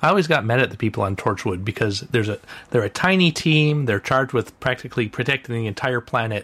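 Very fast pace defines this man's speech. He has a medium pitch and lively intonation. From North America. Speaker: podcast panelist. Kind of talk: casual chat.

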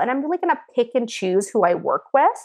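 A woman with an American accent talks at a very fast pace in a high pitch. Her pitch swings very widely. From US Pacific Northwest, Seattle. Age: 30s. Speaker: food stylist. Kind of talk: casual chat.

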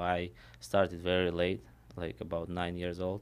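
Speaking at a fairly slow pace with a Russian accent, a man uses a very deep, low pitch and monotone, flat intonation, recorded very cleanly against a silent background. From Armenia/Russia. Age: 20s. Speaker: mixed martial arts fighter. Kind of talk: interview. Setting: studio. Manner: halting.

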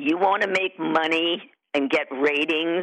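A woman speaks at a very slow pace in a very deep, low pitch. Her pitch varies in an ordinary way. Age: 70s. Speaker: soap opera actress. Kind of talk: interview. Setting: phone call.

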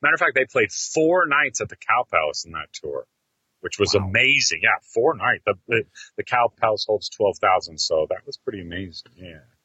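Big swings in loudness mark a man's fairly quick speech. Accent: American. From US West Coast, San Francisco Bay Area. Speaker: metal fan, guest co-host. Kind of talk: casual chat. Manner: animated.

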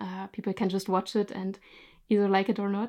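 In a German accent, a woman speaks at a moderate pace with a medium pitch, a dark, mellow tone and monotone, flat intonation, on a very clean recording with a silent background. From Germany. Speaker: YouTube storyteller and photographer. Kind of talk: casual interview.

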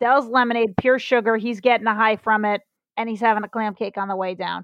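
A woman's normal speaking voice with an American accent, fairly high in pitch, with fairly even intonation and a dry, close sound with no echo. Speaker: comedian. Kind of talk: casual chat. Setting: video call. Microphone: bad internet connection.

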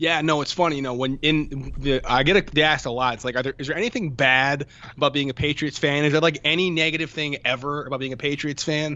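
Talking at a very fast pace with hardly any pauses, a man with an American accent keeps a fairly high pitch and fairly even intonation. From Connecticut shoreline, US. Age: 30s. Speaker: sports blogger. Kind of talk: casual sports chat. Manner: repeats words, stammering restarts.

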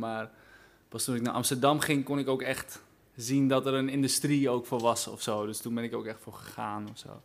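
At a moderate pace, a man with medium pitch speaks in a flat, monotone intonation. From Groningen, Netherlands. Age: 20s. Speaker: singer-songwriter. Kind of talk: interview. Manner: hesitant, many fillers.

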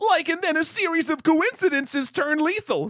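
An extremely high-pitched put-on character voice at a moderate pace. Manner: goofy, stoned-sounding.

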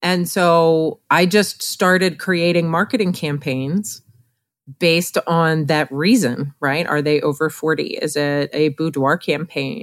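A woman with an unremarkable speaking voice talks at a fairly slow pace with fairly low pitch. Her pitch varies in an ordinary way, and the recording is very clean with a silent background. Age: 40s. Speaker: portrait photographer and educator. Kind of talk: podcast interview.

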